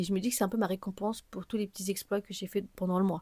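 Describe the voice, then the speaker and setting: A woman's voice at medium pitch carries a dark, mellow tone. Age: 20s. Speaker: podcaster. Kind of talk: solo personal podcast monologue. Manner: fast, many fillers.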